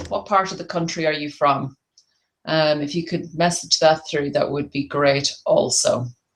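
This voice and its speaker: This is a woman speaking in an Irish accent. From Ireland. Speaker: tapping therapy practitioner and business coach. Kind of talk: webinar presentation. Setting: online webinar call. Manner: hesitant, many fillers.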